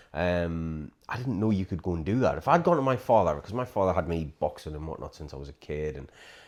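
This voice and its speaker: Speaking at a very fast pace, a man talks in a very deep, low voice. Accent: British. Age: 40s. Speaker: podcast host. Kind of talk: casual chat.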